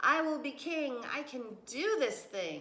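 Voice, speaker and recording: A put-on character voice, high in pitch and raised and projected, goes at a fairly slow pace with very wide pitch swings. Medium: read story. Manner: trumpeting, boastful.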